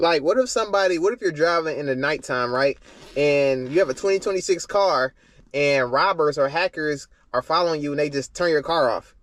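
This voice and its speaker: A man's fairly high-pitched voice at a fairly quick pace, ordinary pitch variation, very clean recording with a silent background. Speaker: car YouTuber reacting to videos. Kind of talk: reaction video commentary. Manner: casual, filler-heavy; fast.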